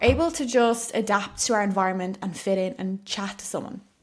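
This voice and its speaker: A woman with an Irish accent. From Ireland. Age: 20s. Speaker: podcast host, spiritual coach. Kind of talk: solo podcast monologue. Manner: chatty, casual with many fillers.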